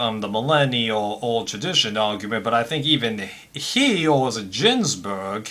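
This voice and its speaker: A man with an American accent at a fairly slow pace and medium pitch, over noticeable background noise. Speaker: commentary vlogger. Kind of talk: casual commentary monologue. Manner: hesitant, many fillers.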